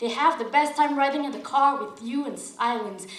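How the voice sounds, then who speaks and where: Over noticeable background noise, a woman speaks at a high pitch and a moderate pace, her pitch varying in an ordinary way. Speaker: slam poet. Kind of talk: slam poetry performance. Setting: live event.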